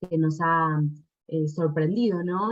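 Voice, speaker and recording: A woman in an Argentine accent talks at a fairly low pitch with ordinary pitch variation. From Argentina. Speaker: doctoral researcher presenting at an academic symposium. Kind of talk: academic conference talk. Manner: hesitant, many fillers.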